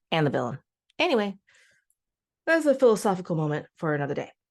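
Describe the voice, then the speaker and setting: A woman's voice with vocal fry and very wide pitch swings, over a quiet background. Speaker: writer and storytelling teacher. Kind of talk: casual tutorial talk to camera. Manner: halting, self-correcting; lilting, sing-song when guiding.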